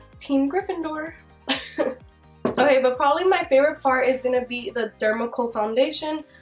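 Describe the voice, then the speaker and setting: A woman speaks in a high voice with music playing in the background. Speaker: beauty vlogger. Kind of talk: casual talk to camera. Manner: chatty, casual.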